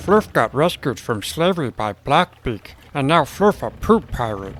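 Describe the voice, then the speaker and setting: At a moderate pace, a man uses a put-on character voice at a medium pitch with very wide pitch swings. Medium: audio drama. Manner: broken grammar, talks of self in third person.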